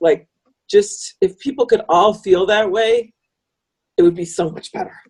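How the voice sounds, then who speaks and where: An American woman talks at a fairly quick pace in an ordinary speaking voice with a fairly high pitch. The sound is dry and close, with no echo. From US Midwest, northern Illinois. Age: 60s. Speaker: author and wolf conservationist. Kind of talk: podcast interview.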